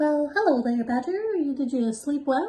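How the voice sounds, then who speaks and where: A woman performs a put-on character voice at a high pitch. Her intonation is lively. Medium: read story.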